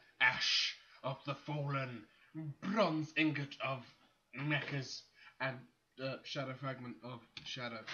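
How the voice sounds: Audible room echo surrounds a man speaking slowly with fairly even intonation. His medium-pitched voice has a bright, sharp tone.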